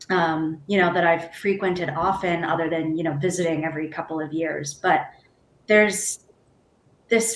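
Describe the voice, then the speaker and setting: Her voice an ordinary speaking voice, a woman speaks at a fairly low pitch with ordinary pitch variation. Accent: American. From United States. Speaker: theatre artist. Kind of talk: panel discussion.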